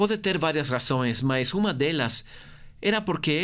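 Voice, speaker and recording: Speaking at a moderate pace with a Portuguese accent, a man uses a fairly high pitch and very wide pitch swings on a very clean recording with a silent background. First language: Portuguese (speaking Spanish). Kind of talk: guided meditation.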